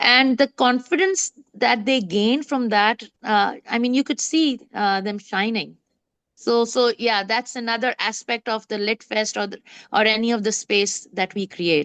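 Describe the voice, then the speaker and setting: A woman with a non-native accent speaks at a fairly high pitch with ordinary pitch variation. The sound is dry and close with no echo, and the background is quiet. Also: fairly slow pace. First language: not English. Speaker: literary festival founder. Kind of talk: casual interview. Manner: halting, many fillers.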